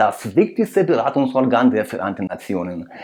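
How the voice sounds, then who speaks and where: A man with a non-native accent talks at a moderate pace and a medium pitch. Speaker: political commentator, video creator. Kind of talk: commentary analysis addressed to viewers. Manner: halting, with fillers.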